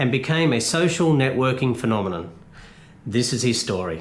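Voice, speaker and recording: With an Australian accent and vocal fry, a man talks at a fairly quick pace in a medium pitch, his pitch swinging very widely. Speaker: former motorcycle racer, program presenter. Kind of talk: TV documentary introduction.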